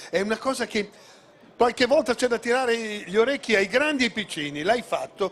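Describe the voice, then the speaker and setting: Fairly quick, lively intonation from a male speaker. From Modena, Emilia-Romagna. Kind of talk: on-stage interview at gala.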